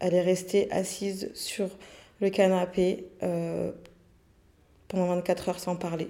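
Speaking at a very slow pace with long, frequent pauses, a woman has a dark, mellow tone at medium pitch. Her intonation is monotone and flat. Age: 30s. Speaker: nail technician and local councillor. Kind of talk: personal testimony interview. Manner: hesitant, frequent fillers.

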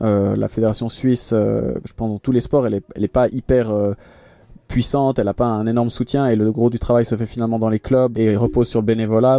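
Speaking at a fairly quick pace, a man with a medium pitch and a dark, mellow tone keeps his intonation fairly even, in a dry, close sound with no echo. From Switzerland, Geneva. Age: 30s. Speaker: professional triathlete. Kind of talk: interview. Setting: in a van.

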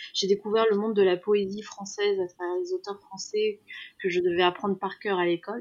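At a fairly quick pace, a woman talks at medium pitch with fairly even intonation. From Iran. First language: Persian (speaking French). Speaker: makeup artist. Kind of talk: interview. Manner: halting, many repetitions.

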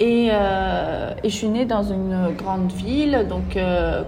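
A woman's voice with ordinary pitch variation comes through audible room echo and noticeable background noise. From Brazil. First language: Portuguese (speaking French). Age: 20s. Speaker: entrepreneur. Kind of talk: interview. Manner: animated.

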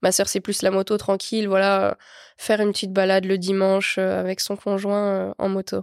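At a moderate pace, a woman with a medium pitch speaks in a monotone, flat way on a very clean recording with a silent background and a dry, close sound with no echo. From northeastern France, Lorraine (Meuse), rural. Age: 20s. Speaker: motorcycle racer. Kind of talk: casual interview chat.

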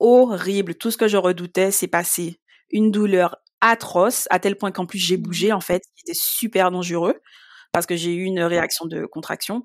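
The speaker has an unremarkable speaking voice, with fairly even intonation at a moderate pace. The recording is very clean, with a silent background and a dry, close sound with no echo. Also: woman, medium pitch for a woman. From Guadeloupe. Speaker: patient sharing illness experience. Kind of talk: testimony.

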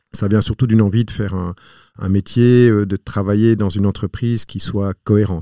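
Speaking at a moderate pace in a flat monotone, a man with a fairly low pitch and a dark, mellow tone is heard on a very clean recording with a silent background. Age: 40s. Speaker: entrepreneur. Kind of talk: interview. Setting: studio. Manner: halting, repeats words.

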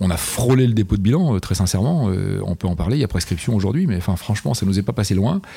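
Talking at a very fast pace, a man with a fairly low voice keeps his loudness very even while his intonation stays lively over noticeable background noise. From northern France (Picardy, Amiens). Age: 50s. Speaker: company CEO. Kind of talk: interview. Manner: enthusiastic.

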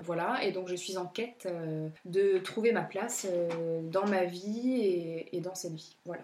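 With noticeable background noise, a woman speaks at a very slow pace with hardly any pauses and fairly even intonation. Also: medium pitch for a woman. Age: 30s. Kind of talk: casual interview about spirituality.

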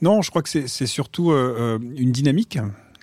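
Male speech, ordinary in its pitch movement, recorded very cleanly against a silent background. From France, Marseille. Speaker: finance executive and novelist. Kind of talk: interview conversation. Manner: hesitant, many repetitions.

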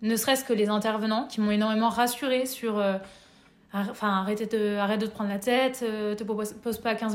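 A woman speaks in an ordinary speaking voice at a fairly quick pace. Her pitch is fairly high and her intonation fairly even. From France, Nevers. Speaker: workshop facilitator. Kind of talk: interview.

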